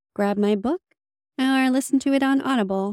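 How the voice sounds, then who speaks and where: The voice is an ordinary speaking voice at a moderate pace. The recording is very clean with a silent background, and the sound is dry and close with no echo. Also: woman. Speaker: podcast host. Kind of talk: podcast interview conversation.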